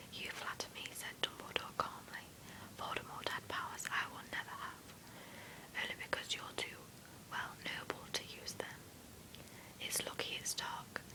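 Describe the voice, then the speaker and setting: A whispering voice keeps a moderate pace while noticeable background noise carries on. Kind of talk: read story. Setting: home with background noise. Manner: whispered.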